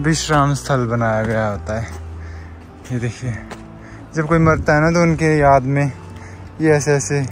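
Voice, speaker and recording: Pausing long and often, a man talks at a fairly slow pace with a fairly high pitch and ordinary pitch variation, in a dry sound with no echo and light background noise. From Himachal Pradesh. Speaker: vlogger. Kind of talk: casual vlog talk to camera. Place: open country. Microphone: phone near.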